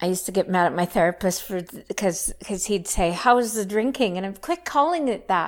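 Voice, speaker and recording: A woman with a Canadian accent talks fairly quickly with hardly any pauses, in a medium pitch and a plain, everyday voice. Her loudness swings a lot on a very clean recording with a silent background. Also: ordinary pitch variation. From Saskatchewan, Canada. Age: 50s. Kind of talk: testimony.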